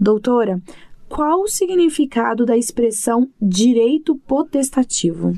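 A woman's high-pitched, dark, mellow voice at a very slow pace, with lively intonation. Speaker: radio podcast host. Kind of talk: radio interview hosting.

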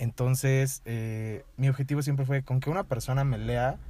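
In a very clean recording with a silent background, a man with a medium pitch and dark, mellow tone talks at a moderate pace. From Mexico, Toluca. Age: 20s. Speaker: writer. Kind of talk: casual interview chat. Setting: in person.

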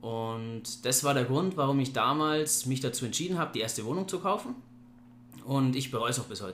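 A man talks at a fairly quick pace in a normal speaking voice, with medium pitch and ordinary pitch variation. His loudness swings widely. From Bavaria, Germany (Ingolstadt). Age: 30s. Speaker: property investor. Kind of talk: casual interview. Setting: recorded after a seminar day.

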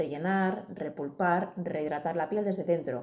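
A woman with a Madrid accent speaks in a dark, mellow tone at a medium pitch, with ordinary pitch variation. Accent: Castilian Spanish (Madrid). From Madrid, Spain. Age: 40s. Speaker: beauty and skincare specialist. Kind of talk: casual interview.

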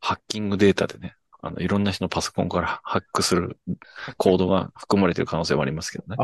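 A man talks at a very fast pace with a very deep, low pitch. The sound is dry and close, with no echo. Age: 30s. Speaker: podcast host, musician. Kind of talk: casual chat. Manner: animated.

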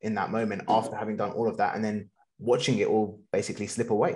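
A man talks in a plain, everyday voice at a medium pitch. His pace is fairly quick. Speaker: podcast host. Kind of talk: interview, conversational.

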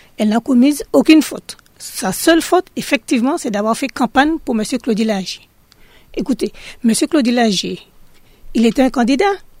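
A high-pitched woman's voice with lively intonation and a moderate pace, dry and close with no echo. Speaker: local resident. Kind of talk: radio testimony.

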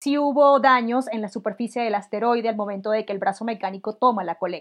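With a Venezuelan accent, a woman speaks with ordinary pitch variation. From Venezuela, Barinas. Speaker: mathematics professor, physicist. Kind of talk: casual science chat.

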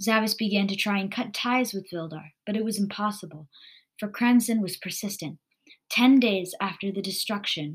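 Quiet surroundings behind plain reading aloud

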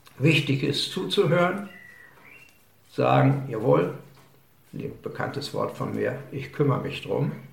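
Noticeable background noise and audible room echo surround speech that moves at a very slow pace with long, frequent pauses. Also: man. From western Germany, Münsterland and Ruhr area (Lünen). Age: 70s. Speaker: village mayor, retired army officer. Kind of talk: interview.

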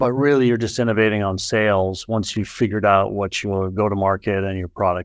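A man speaks in an unremarkable speaking voice with a fairly low pitch and fairly even intonation. His pace is fairly quick, with hardly any pauses. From US Northeast, Boston area. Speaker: venture capital investor. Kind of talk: casual chat.

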